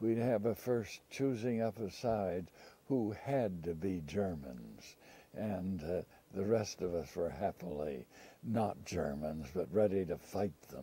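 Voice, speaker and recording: Speaking at a very slow pace, a man with a very deep, low pitch uses lively intonation. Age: 90s. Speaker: elderly interviewee recounting life story. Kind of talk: oral history interview. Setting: filmed interview. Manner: halting, with many fillers.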